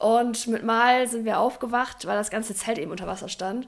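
This woman has an unremarkable speaking voice pitched fairly high. Her intonation stays fairly even. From northern Germany, Oldenburg. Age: 20s. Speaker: physiotherapist and youth handball coach. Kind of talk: casual interview.

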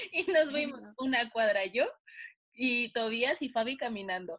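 At a fairly slow pace, a woman with a high pitch speaks with ordinary pitch variation. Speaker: podcast co-host. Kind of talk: casual chat.

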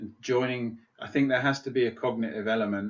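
This man has a normal speaking voice. He talks at a moderate pace with a medium pitch. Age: 40s. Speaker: psychotherapist and men's coach. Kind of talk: podcast interview.

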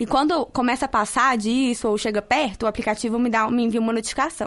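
A woman talks at a fairly quick pace with a fairly high pitch and fairly even intonation. She has a plain, everyday voice. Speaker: university student. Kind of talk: vox pop interview.

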